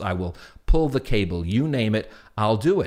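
A man speaks with a New York accent at a moderate pace. The recording is very clean, with a silent background. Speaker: TV interviewer and former sportscaster. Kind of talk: casual interview chat, storytelling.

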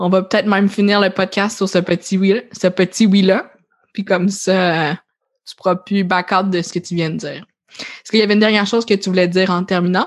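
Over a quiet background, the speaker moves at a fairly quick pace in a monotone, flat intonation. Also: woman, medium pitch for a woman. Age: 20s. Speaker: podcast host. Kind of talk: casual chat.

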